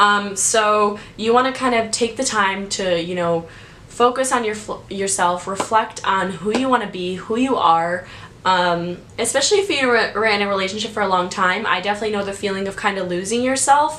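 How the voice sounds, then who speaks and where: A woman with a medium pitch speaks at a moderate pace in an animated tone with ordinary pitch variation. Audible room echo and noticeable background noise are present. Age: 20s. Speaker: YouTuber giving advice. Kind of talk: casual vlog. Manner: loud.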